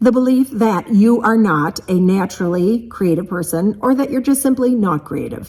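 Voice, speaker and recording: Over noticeable background noise, a woman with a fairly high pitch speaks with lively intonation. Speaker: creativity coach and vlogger. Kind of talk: motivational vlog talk. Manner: fast; animated.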